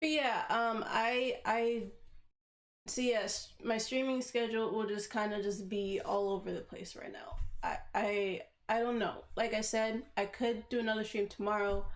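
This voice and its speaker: A woman speaks at a fairly high pitch with fairly even intonation, and audible room echo is in the recording. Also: fairly slow pace. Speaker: streamer. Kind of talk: casual livestream chat. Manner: halting, many fillers and restarts.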